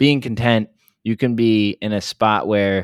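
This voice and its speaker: This man has a normal speaking voice at a fairly low pitch. He speaks fairly slowly, with fairly even intonation. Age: 20s. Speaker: fitness coach. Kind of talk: casual chat.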